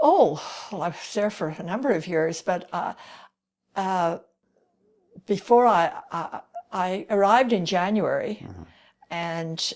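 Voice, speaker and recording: Speaking at a fairly slow pace, a woman has a medium-pitched voice with vocal fry and ordinary pitch variation. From Ireland. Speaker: retired teacher. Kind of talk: interview answer.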